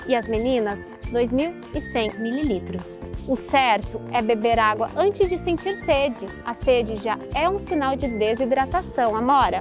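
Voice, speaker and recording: A woman speaking at a fairly slow pace, dry sound with no echo, and clear music in the background. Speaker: nutritionist. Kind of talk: educational explanation for children. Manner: friendly, didactic. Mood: warm, friendly, gently animated. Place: waterside. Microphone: lapel.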